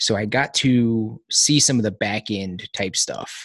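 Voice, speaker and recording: Dry and close with no echo, a man speaks in an unremarkable speaking voice, fairly low in pitch and at a fairly slow pace. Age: 30s. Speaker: podcast host and military veteran. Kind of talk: casual chat. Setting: video call.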